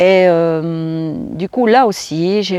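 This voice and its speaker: A woman with a fairly low pitch and ordinary pitch variation, in a dry, close sound with no echo. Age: 60s. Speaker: vlogger. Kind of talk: casual vlog talk. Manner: halting, many fillers and repetitions.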